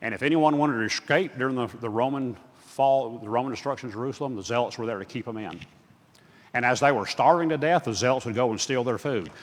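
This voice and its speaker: Talking at a very fast pace, a man has a medium pitch and ordinary pitch variation. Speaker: guest Bible teacher. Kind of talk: lecture. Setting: church.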